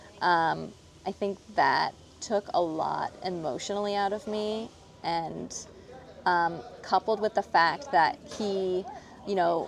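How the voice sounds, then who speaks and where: Soft-spoken delivery at a very slow pace, with long, frequent pauses and ordinary pitch variation. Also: woman, medium pitch for a woman. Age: 30s. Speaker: professional show jumping rider. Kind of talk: casual interview chat.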